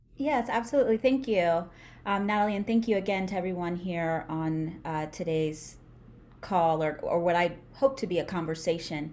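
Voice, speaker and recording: With a New York accent, a woman speaks at a moderate pace in a fairly low voice with lively intonation. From US Northeast (Brooklyn, New York). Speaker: neuropsychologist and speech pathologist. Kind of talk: interview conversation. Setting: online call.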